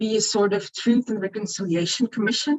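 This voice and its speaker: A woman's somewhat breathy voice sits fairly high, with ordinary pitch variation. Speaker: equality body representative. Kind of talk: conference presentation.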